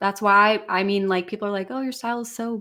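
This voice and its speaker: Someone speaks at a very fast pace in an American accent. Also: woman, very clean recording, silent background. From US Midwest, Illinois. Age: 20s. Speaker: singer. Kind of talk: testimony.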